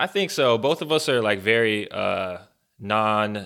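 Lively intonation and a bright, sharp tone mark a man's medium-pitched voice at a fairly slow pace, recorded very cleanly against a silent background. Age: 30s. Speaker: podcast co-host, campus minister. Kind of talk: casual chat.

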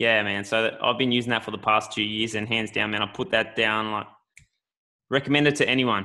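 A man speaks at a fairly quick pace with an Australian accent and a medium pitch. His tone is bright and sharp, and his intonation stays fairly even. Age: 20s. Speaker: podcast host, gym owner. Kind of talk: casual chat.

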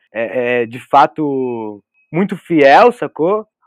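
A man is heard up close, dry and without echo. The background stays quiet. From São Paulo state interior (Vale do Paraíba, Taubaté), born in Porto Velho. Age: 20s. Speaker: photographer. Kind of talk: casual chat. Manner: halting, repeats words.

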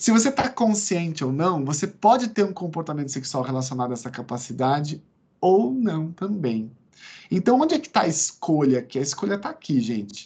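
Very wide pitch swings mark the man's fairly high voice. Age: 40s. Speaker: psychiatrist and lecturer. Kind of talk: lecture. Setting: video call from home veranda.

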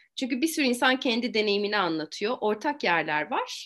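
Her fairly high voice carries vocal fry and very wide pitch swings as this woman talks over a quiet background. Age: 40s. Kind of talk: interview.

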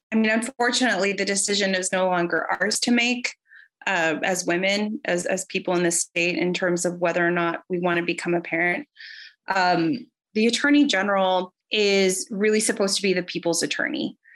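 A woman's normal speaking voice with an American accent, medium pitch, ordinary pitch variation and very even loudness, at a fairly quick pace in a very clean recording with a silent background. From Texas, Rio Grande Valley. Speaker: politician, civil rights lawyer. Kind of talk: political interview.

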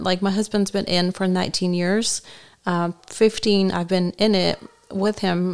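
A woman with a non-native accent speaks at a moderate pace. Her pitch is medium and her intonation fairly even. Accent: foreign accent, noticeable. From Bulgaria. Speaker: military spouse. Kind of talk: interview. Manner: halting, many fillers.

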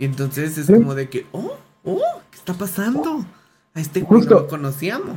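Over music in the background, a man with a Mexican accent speaks at a moderate pace and high pitch, with lively intonation and big swings in loudness. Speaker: podcast host. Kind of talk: casual chat. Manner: animated.

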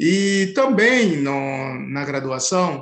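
A high-pitched man speaks with audible room echo. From Haiti. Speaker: anthropology professor. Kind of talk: interview. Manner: halting, many fillers.

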